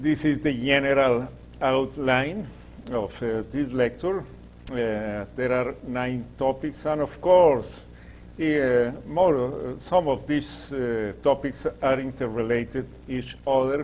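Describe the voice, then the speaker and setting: With audible room echo, a man in a Latin American accent speaks at a very slow pace. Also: medium pitch for a man, ordinary pitch variation. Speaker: groundwater engineer and professor. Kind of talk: lecture. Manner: halting, many fillers.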